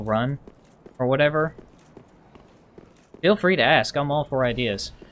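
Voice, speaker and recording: At a fairly quick pace, a man speaks with lively intonation and a fairly high pitch. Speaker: gaming streamer. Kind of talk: live gameplay commentary. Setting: live stream.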